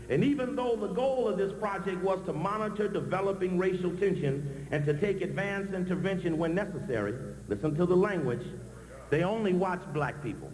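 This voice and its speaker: Amid noticeable background noise and audible room echo, a man with a high pitch talks at a fairly quick pace with ordinary pitch variation. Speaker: activist speaker. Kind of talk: conference speech. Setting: stage with audience. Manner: fast.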